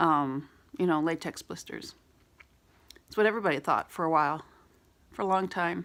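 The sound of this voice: A woman speaks in a low, raspy voice. Her tone is fairly bright.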